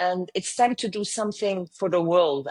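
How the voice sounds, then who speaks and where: In a French accent, a woman speaks with a dry, close sound, no echo and a quiet background. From southern France. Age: 50s. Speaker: travel company founder. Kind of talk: interview.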